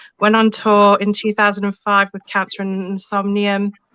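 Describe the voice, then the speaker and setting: Close and dry with no echo, a woman's bright, sharp voice comes through at medium pitch and a moderate pace. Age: 40s. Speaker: metal singer and promoter. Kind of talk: interview on a live web show.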